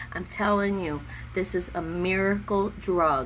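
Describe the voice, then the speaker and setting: Audible room echo surrounds a woman's voice. She speaks in a medium pitch at a very slow pace. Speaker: vlogger with chronic illness. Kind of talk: casual livestream vlog. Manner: halting.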